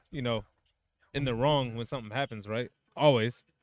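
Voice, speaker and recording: With fairly even intonation, a man speaks at a medium pitch in an ordinary speaking voice. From United States. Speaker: podcast co-host. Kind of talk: casual chat.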